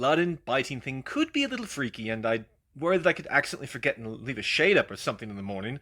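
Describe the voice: The voice here is plain reading aloud.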